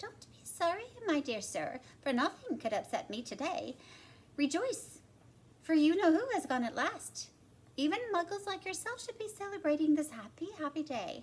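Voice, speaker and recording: A woman uses a put-on character voice, squeaky and extremely high-pitched, with very wide pitch swings. Her voice is raised and projected, at a moderate pace. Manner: joyful, exuberant.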